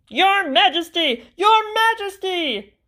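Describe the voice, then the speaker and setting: A woman does a put-on character voice, squeaky and extremely high-pitched, with lively intonation at a fairly slow pace. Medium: read story. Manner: precise, numerical.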